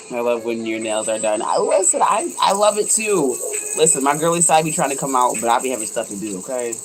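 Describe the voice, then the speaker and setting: With music in the background, a woman talks at a very fast pace in a very deep, low, animated voice full of very wide pitch swings. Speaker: waist bead maker. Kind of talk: casual livestream chat while crafting. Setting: craft shop.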